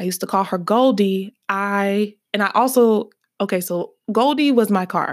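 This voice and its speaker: In an Alabama accent, a woman speaks with an animated tone at a medium pitch and ordinary pitch variation. The recording is very clean, with a silent background. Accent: Southern US (Alabama). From US South, Birmingham, Alabama. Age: 20s. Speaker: podcast host. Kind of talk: casual solo podcast monologue. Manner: animated, laughing often.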